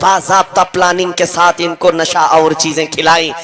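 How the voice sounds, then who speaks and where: A man's raised, projected voice amid noticeable background noise. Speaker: Islamic preacher. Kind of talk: passionate religious sermon. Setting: public gathering, crowd responding. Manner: fiery, emphatic, oratorical.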